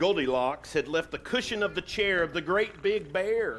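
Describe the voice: The clip consists of plain reading aloud.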